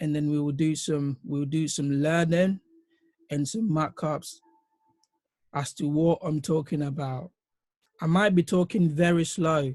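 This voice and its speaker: A somewhat breathy, fairly high-pitched male voice at a fairly slow pace, with fairly even intonation and long, frequent pauses. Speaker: forex trading teacher. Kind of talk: online lecture. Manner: deliberately slow.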